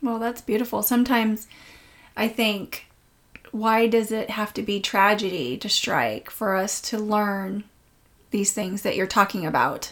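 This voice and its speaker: At a fairly slow pace, a woman talks in an unremarkable speaking voice, fairly high in pitch with fairly even intonation. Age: 40s. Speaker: podcast host. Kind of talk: interview. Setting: in a home.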